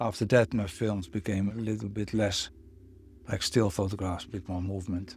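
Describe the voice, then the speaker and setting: Over music in the background, a man with a Dutch accent talks at a moderate pace in a fairly low pitch, his intonation fairly even. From Netherlands. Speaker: photographer and filmmaker. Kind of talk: interview answer. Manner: reflective, hesitant.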